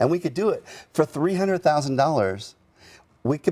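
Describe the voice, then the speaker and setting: Recorded very cleanly against a silent background, a man speaks at a moderate pace in a dark, mellow tone. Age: 60s. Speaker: veteran charity director. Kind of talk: TV interview.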